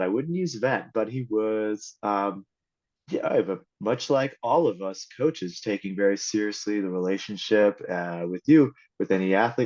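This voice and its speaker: Fairly slow pace from a man with a normal speaking voice, medium pitch and lively intonation, against a quiet background. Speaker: endurance coach. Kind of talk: podcast interview host.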